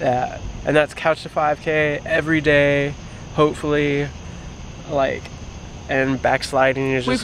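A man speaks at a fairly slow pace in a monotone, flat delivery. The sound is dry with no echo, over light background noise. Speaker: vlogger. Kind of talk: casual vlog chat. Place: street. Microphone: phone near.

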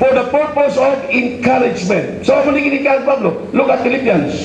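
The speaker sounds animated and moves at a fairly quick pace. Light background noise and audible room echo are present. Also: man. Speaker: preacher. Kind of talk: sermon. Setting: church. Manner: animated, rhetorical, seeking congregation responses with 'Amen?'; code-switching between English and Tagalog/Hiligaynon. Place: church. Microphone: handheld.

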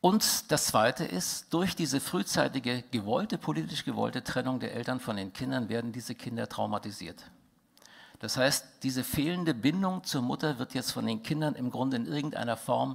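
Against a quiet background, a man with vocal fry talks at a moderate pace. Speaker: conference speaker. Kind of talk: lecture. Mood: indignant, critical. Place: hall. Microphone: headset.

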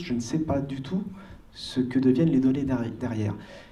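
A man races along at a very fast pace with ordinary pitch variation. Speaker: audience member. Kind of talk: audience question. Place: hall. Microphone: handheld.

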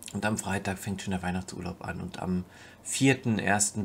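A man with an unremarkable speaking voice talks at a moderate pace, his pitch fairly low. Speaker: vlogger, streamer. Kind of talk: casual vlog chat. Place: home room. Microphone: webcam.

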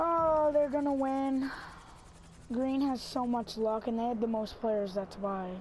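Speaking at a fairly slow pace, a woman with a high pitch sounds animated, her pitch varying in an ordinary way. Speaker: gaming YouTuber. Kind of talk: angry gaming rant during online match. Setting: gameplay commentary recorded at home. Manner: loud, exasperated, sputtering with frustration; excitable, animated, shouting.

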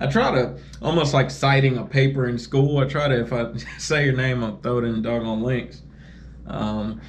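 At a moderate pace and with fairly even intonation, the voice comes through over light background noise. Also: man. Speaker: truck driver vlogger. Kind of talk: casual vlog chat. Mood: relaxed, friendly. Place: home room. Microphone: phone near.

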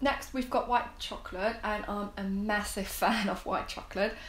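Fairly even intonation from a woman, with audible room echo. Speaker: food reviewer. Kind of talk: casual review vlog chat. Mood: relaxed, friendly. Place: home room.

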